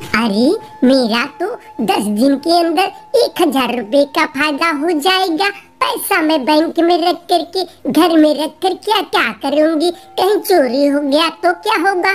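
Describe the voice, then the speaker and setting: A cartoonish character voice speaks at a fairly slow pace with an extremely high pitch. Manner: simple, earnest.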